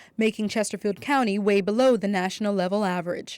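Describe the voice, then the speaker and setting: In a very clean recording with a silent background, a woman with an unremarkable speaking voice talks at a medium pitch and a fairly quick pace. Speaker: news reporter. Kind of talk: TV news report.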